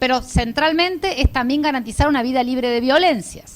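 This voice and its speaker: A woman speaks with a high pitch. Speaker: lecturer on care rights. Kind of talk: lecture. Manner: fast.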